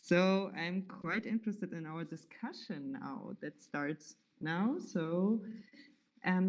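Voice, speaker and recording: Somewhat breathy and in a German accent, a woman speaks at a very slow pace with big swings in loudness. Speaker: event moderator. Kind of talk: event moderation. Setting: livestreamed event in a venue. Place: home room. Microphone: video call.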